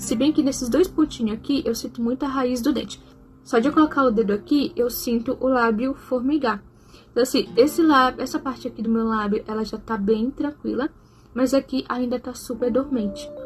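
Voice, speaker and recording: Music plays behind a woman with a high pitch. She speaks at a moderate pace with ordinary pitch variation. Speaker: vlogger. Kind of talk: personal vlog.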